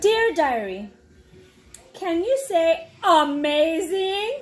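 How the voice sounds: A woman performs a put-on character voice at an extremely high pitch with big pitch swings. She goes at a very slow pace while faint music plays in the background.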